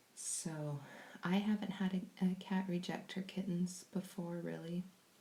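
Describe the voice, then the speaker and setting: A soft-spoken, somewhat breathy woman with an American accent, medium pitch, dark, mellow tone and monotone, flat intonation at a fairly slow pace. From California. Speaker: kitten foster carer. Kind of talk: live stream chat.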